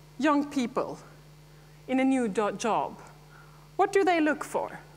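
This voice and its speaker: A woman speaks with a Scandinavian accent. Her pitch swings very widely. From Norway. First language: Norwegian. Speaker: dairy farmer and farmers' association president. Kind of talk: conference speech.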